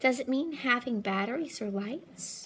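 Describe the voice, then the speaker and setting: At a moderate pace, a woman does a put-on character voice pitched high. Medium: read story. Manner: timid, innocent.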